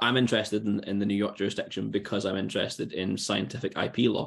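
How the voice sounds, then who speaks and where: Against a quiet background, a man with a fairly low pitch and vocal fry talks at a very fast pace in a monotone, flat intonation. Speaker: event host and doctoral researcher; event host. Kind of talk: moderating a Q&A. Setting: video call. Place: home room. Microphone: webcam.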